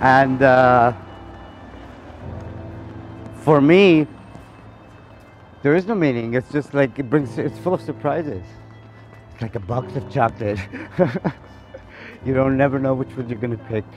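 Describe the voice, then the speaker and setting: Long, frequent pauses break up a man's speech. The sound is dry with no echo, and faint music plays in the background. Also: ordinary pitch variation, moderate pace. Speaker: interviewee. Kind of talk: interview answer. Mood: joking, relaxed. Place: street. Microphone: phone near.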